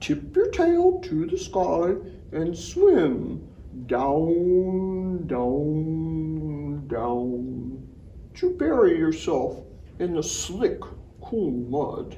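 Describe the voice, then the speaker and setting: Someone uses a put-on character voice at a very slow pace over clear background noise. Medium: read story. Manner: calling out.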